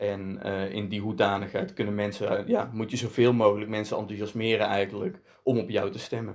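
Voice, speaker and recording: A man at a fairly low pitch, fairly quick in pace, with monotone, flat intonation. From Netherlands. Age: 20s. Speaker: provincial politician. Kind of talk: interview. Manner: hesitant, with fillers and repetitions.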